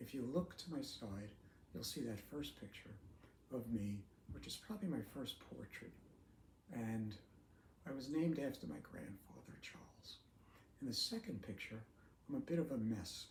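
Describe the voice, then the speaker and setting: Pausing long and often, a man speaks at a moderate pace and medium pitch with vocal fry and very wide pitch swings. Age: 70s. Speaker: retired teacher with ALS sharing his story. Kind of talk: personal video talk.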